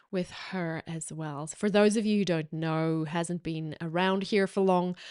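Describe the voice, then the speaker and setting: Over a quiet background, a woman with an American accent speaks at a moderate pace and fairly low pitch with fairly even intonation, the sound dry and close with no echo. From South Africa. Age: 40s. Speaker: podcast host, ads marketing consultant. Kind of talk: solo podcast talk. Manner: casual, filler-heavy.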